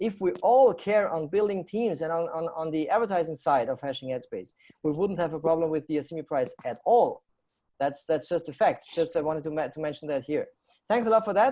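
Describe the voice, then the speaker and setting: In a German accent, a man speaks at a fairly quick pace in a high voice with a dark, mellow tone and lively intonation. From Austria. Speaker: talk show host. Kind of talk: live panel show hosting.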